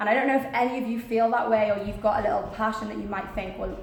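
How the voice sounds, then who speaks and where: A woman with a Welsh accent speaks at a very fast pace and a fairly high pitch. There is audible room echo and noticeable background noise. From Wales, small town. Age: 20s. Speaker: actress and motivational speaker. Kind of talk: motivational talk.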